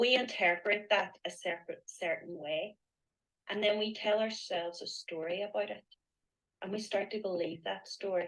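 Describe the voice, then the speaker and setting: A woman's medium-pitched voice with a Northern Irish accent. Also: ordinary pitch variation, moderate pace. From Northern Ireland. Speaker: mindset coach. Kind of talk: interview on a live online event.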